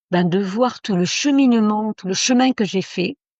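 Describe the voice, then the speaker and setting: At a fairly slow pace, a woman of medium pitch speaks with ordinary pitch variation. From Italy. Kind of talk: interview. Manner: halting.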